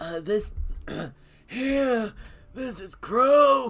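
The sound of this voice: This is a put-on character voice. It sits at a fairly high pitch.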